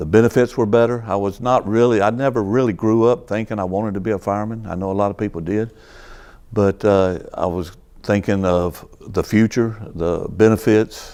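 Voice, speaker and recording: In a North Carolina accent, a man speaks at a moderate pace with a dark, mellow tone, fairly low pitch and fairly even intonation. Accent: US South, North Carolina. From North Carolina, Greensboro. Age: 60s. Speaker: retired fire captain. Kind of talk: oral history interview. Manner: halting.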